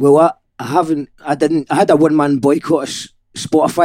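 With a Scottish accent, a man speaks in a dark, mellow tone with fairly even intonation, in a dry, close sound with no echo. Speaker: podcast host. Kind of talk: casual interview chat. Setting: in person, studio.

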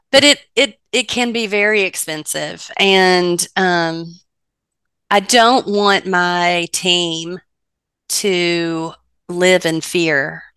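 A woman talks very slowly in a fairly low pitch, with ordinary variation in her pitch. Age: 50s. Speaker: business owner. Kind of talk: interview. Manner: animated.

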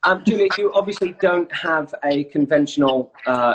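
A man talks at a moderate pace in a plain, everyday voice, with ordinary pitch variation. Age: 40s. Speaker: travel website founder and interviewer. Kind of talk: casual interview over Instagram Live. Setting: Instagram Live video stream.

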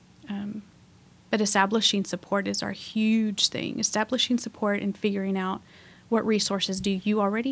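A woman with an American accent speaks at medium pitch and moderate pace. Her intonation stays fairly even. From Waco, Texas. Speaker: police victim services coordinator. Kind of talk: interview.

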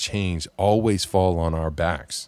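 Very cleanly recorded against a silent background, a man with a very deep, low voice and an American accent speaks at a fairly slow pace with fairly even intonation. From Southern California. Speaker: podcast host, church leader. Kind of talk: interview conversation.

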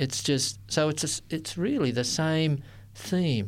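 A man in an Australian accent talks at a fairly slow pace with lively intonation. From Sydney, Australia. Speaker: interfaith ministry worker. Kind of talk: interview. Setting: studio.

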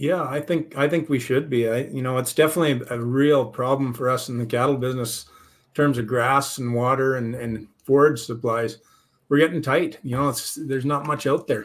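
A man with an ordinary speaking voice talks at a fairly quick pace, his intonation fairly even. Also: medium pitch for a man. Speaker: cattle market analyst. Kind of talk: casual market discussion.

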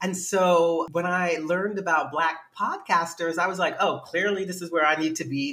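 A woman speaks with an American accent at a fairly low pitch. Noticeable background noise is present. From New York City, Manhattan. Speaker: writer and director. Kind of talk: casual chat.

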